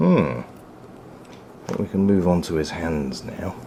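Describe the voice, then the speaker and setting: Speech comes at a fairly slow pace. Noticeable background noise runs underneath. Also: man. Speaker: toy reviewer. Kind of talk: product review while building a model kit. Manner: quiet while concentrating; bursts into excited loudness.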